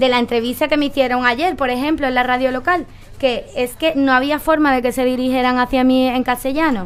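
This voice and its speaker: A woman speaks in a strong Andalusian accent at a fairly quick pace. Her pitch is high and her intonation fairly even. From Andalusia, Cádiz. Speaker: political talk show panelist. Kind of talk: panel discussion.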